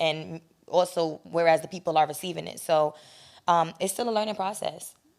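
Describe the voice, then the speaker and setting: A woman with a New York accent speaks at a moderate pace in a fairly low pitch with fairly even intonation. The recording is very clean with a silent background. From New York, the Bronx. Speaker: producer and talent manager. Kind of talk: interview.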